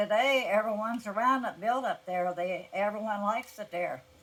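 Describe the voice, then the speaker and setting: A woman with an American accent, fairly high pitch, ordinary pitch variation and noticeable background noise. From Appalachia, southern Ohio (Scioto County). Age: 80s+. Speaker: elderly interviewee recalling farm life. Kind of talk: oral history interview.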